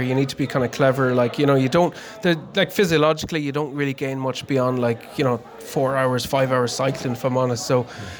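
Over noticeable background noise, a man with a west of Ireland accent speaks at medium pitch and a fairly quick pace with ordinary pitch variation. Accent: west of Ireland Irish. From Connemara, west of Ireland. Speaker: amateur endurance cyclist. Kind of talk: casual interview. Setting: pub party.

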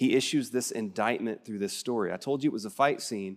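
The speaker has a West Texas accent. The recording is very clean, with a silent background. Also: man. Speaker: preacher. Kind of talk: sermon. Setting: church.

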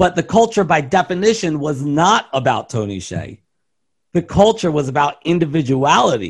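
A man with an American accent, his fairly high voice swinging very widely in pitch at a moderate pace. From US East Coast, Baltimore, Maryland. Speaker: business consultant and keynote speaker. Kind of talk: interview.

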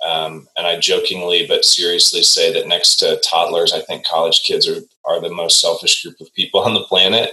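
Talking at a moderate pace with hardly any pauses, a man with a Midwestern American accent shows big swings in loudness. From US Midwest, Indianapolis. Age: 40s. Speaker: executive coach. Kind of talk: casual chat.

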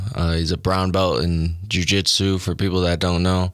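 At a moderate pace, a man with an American accent speaks at a very deep, low pitch in a monotone, flat intonation. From Nebraska, North Platte. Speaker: amateur MMA fighter. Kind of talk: radio interview. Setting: radio studio. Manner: halting, many fillers.

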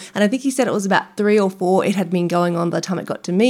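Talking at a very fast pace, a woman is heard. Her pitch is medium. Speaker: nutrition podcast host. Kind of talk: casual interview chat. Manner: fast talker.

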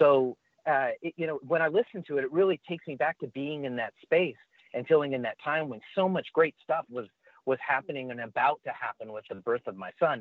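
A normal speaking voice from a man, fairly high in pitch, with ordinary pitch variation and a fairly quick pace. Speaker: musician. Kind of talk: casual interview chat. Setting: video call.

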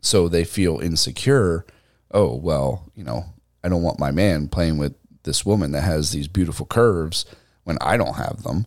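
With a very deep, low pitch and vocal fry, a man is heard on a very clean recording with a silent background. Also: lively intonation, moderate pace. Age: 30s. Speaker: podcast co-host. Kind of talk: casual chat. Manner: animated.

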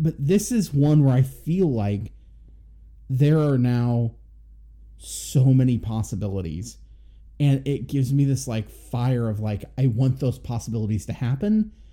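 Medium pitch, lively intonation and a dark, mellow, somewhat breathy tone from a man at a fairly slow pace. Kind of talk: casual chat, movie review podcast.

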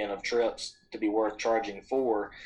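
A man in an Alabama accent talks at a medium pitch with monotone, flat intonation. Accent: Southern US (Alabama). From Alabama, US South. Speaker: founder of a hunting trip-swap company. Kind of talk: podcast interview. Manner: casual, with frequent fillers and repetitions.

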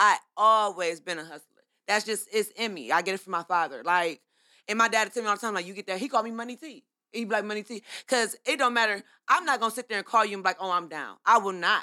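A woman with an American accent speaks at a very fast pace and medium pitch, with ordinary pitch variation and a bright, sharp tone. Her loudness swings widely on a very clean recording with a silent background. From Ohio. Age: 30s. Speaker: candle business owner. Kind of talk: casual chat.

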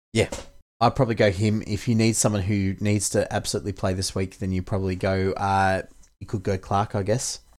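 With an Australian accent, a man speaks at a fairly quick pace and a fairly low pitch. His intonation is monotone and flat, on a very clean recording with a silent background. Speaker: fantasy sports podcast host. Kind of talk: casual podcast chat about fantasy league.

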